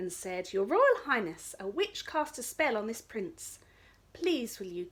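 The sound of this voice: The speaker reads. It is an unforced reading voice.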